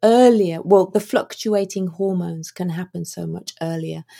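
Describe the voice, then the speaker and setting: A woman talks in a dark, mellow tone. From UK. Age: 50s. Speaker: author and midlife mentor. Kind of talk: interview. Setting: remote call.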